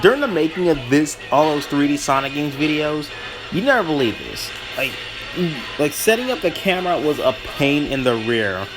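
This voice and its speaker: Lively intonation from a man with a fairly high voice, with music in the background. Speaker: gaming YouTuber. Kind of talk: gameplay commentary. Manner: halting, self-correcting; casual, rambling.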